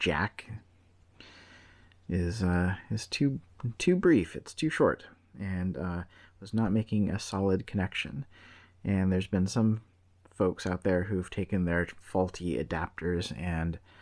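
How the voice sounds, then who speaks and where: Quietly, a man speaks at a very deep, low pitch with ordinary pitch variation, very slowly and with long, frequent pauses. The recording is very clean with a silent background. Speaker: tech reviewer. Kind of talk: product review.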